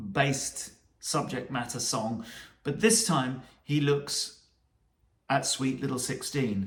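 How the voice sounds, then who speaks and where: With a British accent and lively intonation, a man speaks at a fairly high pitch and a fairly slow pace. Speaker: music commentator.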